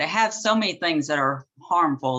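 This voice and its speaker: The speaker has a bright, sharp tone in a Southern US accent. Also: woman. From US South, southern Arkansas. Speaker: author and gardening teacher. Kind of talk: presentation. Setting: video call.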